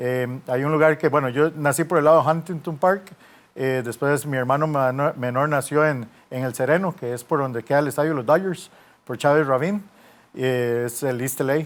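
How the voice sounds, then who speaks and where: A man speaks with a Costa Rican accent. His pitch is fairly high and his intonation fairly even. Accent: Costa Rican Spanish, kept deliberately. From US, Los Angeles (Costa Rican parents). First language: English (speaking Spanish). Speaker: sports journalist and football coach. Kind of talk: interview. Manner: hesitant, many fillers.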